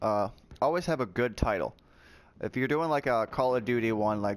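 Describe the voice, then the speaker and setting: A man in a very clean recording with a silent background. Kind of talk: tutorial. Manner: loud; casual, with fillers.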